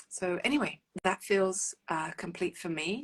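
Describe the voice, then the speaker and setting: Against a quiet background, a woman speaks in a fairly low voice with a London accent. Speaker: relationship coach. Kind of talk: live stream talk to viewers. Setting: live stream. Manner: hesitant, many fillers.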